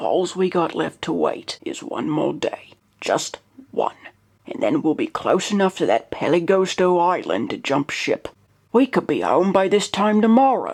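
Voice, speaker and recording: A woman's raspy put-on character voice at a medium pitch and moderate pace. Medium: read story. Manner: gruff, blustery.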